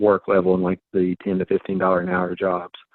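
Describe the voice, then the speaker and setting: At a moderate pace, a man with an American accent talks in an ordinary speaking voice. His pitch sits fairly low. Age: 50s. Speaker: judge. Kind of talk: talk show discussion.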